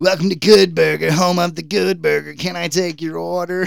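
In a strained, put-on character voice, a man speaks at a high pitch and a moderate pace. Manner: goofy, exaggerated.

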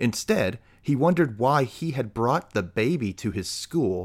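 What we hear is a reading voice that is unforced.

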